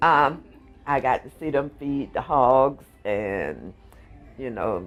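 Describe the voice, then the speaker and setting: Over music in the background, a man with an American accent speaks at a fairly high pitch. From Florida, St. Petersburg. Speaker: interviewee. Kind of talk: casual chat.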